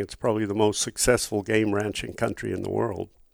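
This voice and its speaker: Vocal fry runs through a man's fairly low voice, in an American accent. He talks at a fairly quick pace in a very clean recording with a silent background. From South Africa until 10, then New York. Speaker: retired wildlife biologist and survey pilot. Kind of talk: interview conversation.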